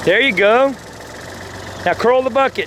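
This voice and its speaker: A man talks over noticeable background noise. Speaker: backhoe operator instructing a friend. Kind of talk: on-the-job instruction, casual chat. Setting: outdoors on a job site. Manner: loud; talkative, rapid commands.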